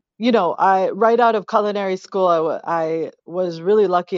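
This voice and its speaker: A woman talks at a moderate pace with an American accent and ordinary pitch variation. Hers is an unremarkable speaking voice. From New England, suburb outside Boston. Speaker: chef and restaurant owner. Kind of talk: interview. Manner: frequent fillers and false starts.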